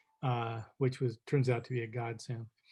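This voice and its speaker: A man with a dark, mellow, somewhat breathy tone at medium pitch, monotone and flat, in dry, close sound with no echo. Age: 70s. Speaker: father of a child with a rare disease, foundation board president. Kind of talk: interview. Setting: video call. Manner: halting.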